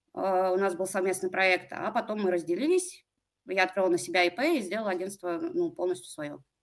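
An unremarkable speaking voice moves at a fairly quick pace with ordinary pitch variation over a very clean recording with a silent background. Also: woman. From Russia, Pskov. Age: 30s. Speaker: online marketplace seller with own production. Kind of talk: business consultation interview.

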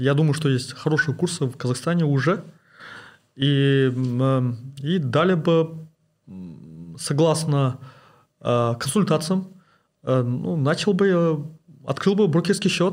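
On a very clean recording with a silent background, a man with fairly high pitch and ordinary pitch variation talks at a very slow pace with long, frequent pauses and very even loudness. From Kazakhstan. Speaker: investment blogger and oil and gas engineer. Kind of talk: interview. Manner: halting, many fillers.

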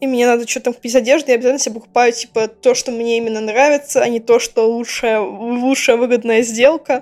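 A woman's high-pitched voice at a fairly quick pace with hardly any pauses, amid noticeable background noise. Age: 20s. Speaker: podcast co-host, game designer. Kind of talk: casual chat.

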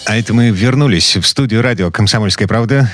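Through noticeable background noise, a man with a fairly low pitch talks at a very fast pace. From Kirov, Russia. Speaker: radio host. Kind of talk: radio talk show. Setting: studio.

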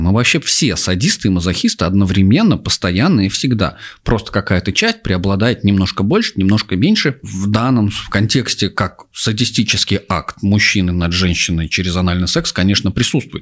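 A man with a fairly low pitch and a normal speaking voice talks with ordinary pitch variation and hardly any pauses. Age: 30s. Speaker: psychologist and sexologist. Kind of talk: casual chat.

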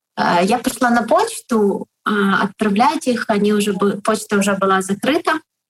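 Somewhat breathy and fairly high-pitched, a woman talks fairly slowly with ordinary pitch variation, recorded dry and close with no echo. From Ukraine, Kharkiv. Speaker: online shop owner. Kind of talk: interview. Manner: hesitant, filler sounds.

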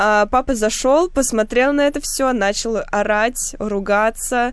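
Pitched high, a woman's voice carries ordinary pitch variation. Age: 20s. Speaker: podcast host and journalist. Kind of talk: casual chat; scripted narration.

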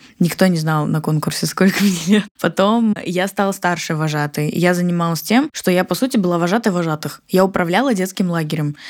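Using a normal speaking voice, a woman with a fairly low pitch and ordinary pitch variation speaks at a fairly quick pace. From Siberia, Russia (Barnaul). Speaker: entrepreneur, marketing agency founder. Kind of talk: casual interview.

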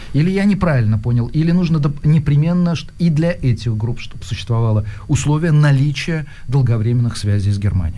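This man speaks at a fairly quick pace with lively intonation and a fairly high pitch. Some room echo can be heard. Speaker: radio host. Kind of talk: casual chat. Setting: studio.

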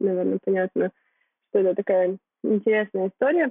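A woman uses a plain, everyday voice at a medium pitch with fairly even intonation. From Kyrgyzstan. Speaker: blogger, marketing graduate. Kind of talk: casual interview.

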